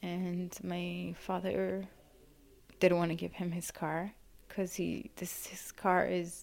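A woman with an Arabic accent speaks at a very slow pace. The recording is very clean, with a silent background. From Yemen. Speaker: refugee survivor. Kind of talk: testimony. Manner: halting.

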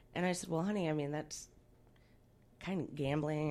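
A woman with a fairly low pitch is heard in a very clean recording with a silent background. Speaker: radio co-host. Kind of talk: casual banter as co-host.

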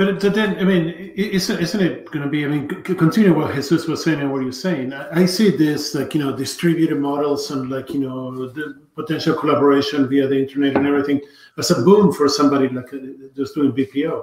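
Speaking at a fairly quick pace, a man has a fairly high pitch and ordinary pitch variation. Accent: Spanish. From Argentina. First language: Spanish. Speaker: tech company evangelist. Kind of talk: casual live video conversation. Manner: halting, with restarts.

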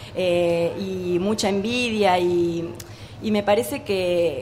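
A woman speaks over noticeable background noise. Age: 30s. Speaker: actress and singer. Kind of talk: radio interview. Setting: live radio at a book fair with audience.

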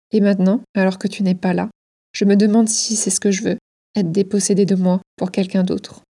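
A woman's medium-pitched, somewhat breathy voice with a dark, mellow tone, monotone, flat intonation and a fairly quick pace, in a dry, close sound with no echo. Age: 30s. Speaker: podcast host. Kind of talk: scripted narration.

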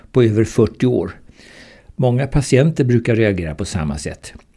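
On a very clean recording with a silent background, a man with a medium pitch and a somewhat breathy, dark, mellow tone speaks at a moderate pace. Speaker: retired surgeon and cancer patient. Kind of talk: reading aloud a personal account.

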